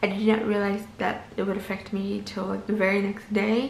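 With an American accent, a woman speaks amid light background noise and audible room echo. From US Midwest (Minnesota). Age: 20s. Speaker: lifestyle vlogger. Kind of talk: vlog monologue. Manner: casual with fillers. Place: home room. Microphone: phone near.

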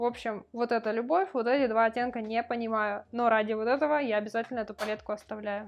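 Speaking at a very fast pace, a woman uses a fairly high pitch. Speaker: beauty vlogger. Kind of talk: casual vlog monologue. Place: home room.

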